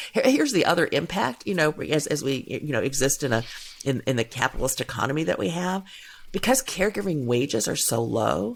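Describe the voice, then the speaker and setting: A woman with an American accent and a very deep, low pitch speaks at a fairly quick pace with very wide pitch swings. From US Midwest, suburban Cleveland, Ohio. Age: 60s. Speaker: gender equality and caregiving policy advocate. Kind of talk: podcast interview.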